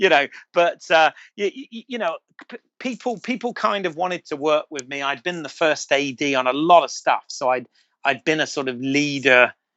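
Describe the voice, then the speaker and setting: Talking at a moderate pace in a British accent, a man with a fairly high pitch shows big swings in loudness. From Britain. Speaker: filmmaker and podcast co-host. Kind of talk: casual chat. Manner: halting, many repeated words.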